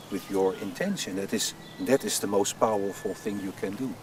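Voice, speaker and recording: A man speaks fairly quickly in a fairly low voice with a Dutch accent. There is noticeable background noise. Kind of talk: interview.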